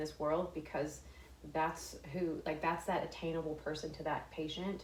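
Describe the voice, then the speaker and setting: Noticeable background noise and audible room echo behind a woman's very deep, low voice at a moderate pace in an American accent. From Texas, small town. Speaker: fashion influencer and former nurse. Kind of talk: interview conversation. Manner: halting, many fillers and restarts.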